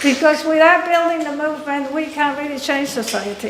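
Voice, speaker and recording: Over noticeable background noise and audible room echo, a woman speaks in a high voice. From Argentina. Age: 60s. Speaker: activist. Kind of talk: public speech. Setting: forum with audience. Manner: conversational, frequent fillers.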